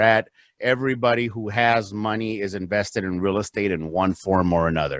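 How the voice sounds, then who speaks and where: A man with a Spanish accent, moderate pace and ordinary pitch variation, against a quiet background. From US, south Los Angeles, then Phoenix from 14. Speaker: real estate investor. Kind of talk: podcast interview.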